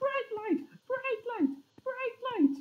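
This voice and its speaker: This put-on character voice is squeaky and extremely high-pitched. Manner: screaming, panicked.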